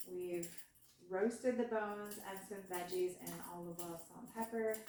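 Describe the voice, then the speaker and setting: A woman talks at a moderate pace with fairly even intonation but big swings in loudness. Noticeable background noise and audible room echo fill the recording. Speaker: home cooking vlogger. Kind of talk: cooking tutorial. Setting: home kitchen. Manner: soft-spoken; hesitant, many fillers.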